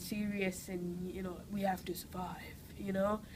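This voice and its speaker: At a fairly slow pace, a woman of medium pitch speaks with monotone, flat intonation. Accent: strong Geordie. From northern England, Newcastle. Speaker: actress. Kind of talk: interview. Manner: hesitant, many fillers.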